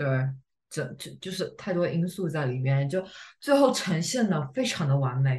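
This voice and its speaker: A woman speaks at a moderate pace with a very deep, low pitch and a somewhat breathy sound. Her pitch swings very widely. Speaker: podcast co-host. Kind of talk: casual chat.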